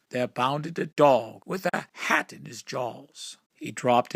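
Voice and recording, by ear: Against a quiet background, someone is reading aloud in a natural voice with ordinary pitch variation.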